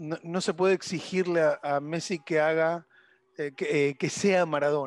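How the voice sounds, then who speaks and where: In a dry, close recording with no echo, a man with a fairly high pitch speaks at a fairly slow pace with fairly even intonation. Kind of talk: casual chat. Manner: halting.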